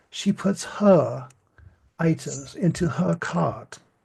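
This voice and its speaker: Speaking with a Midland American accent, a man sounds somewhat breathy. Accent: broad Midland American. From US Midland. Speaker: English teacher. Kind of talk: lesson.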